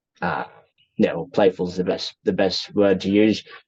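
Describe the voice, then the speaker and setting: An Australian-accented man's fairly low voice at a moderate pace, in a monotone with flat intonation. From Australia, raised in rural northeast Thailand from age 8. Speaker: interviewee sharing life story. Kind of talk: casual interview. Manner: hesitant, many fillers.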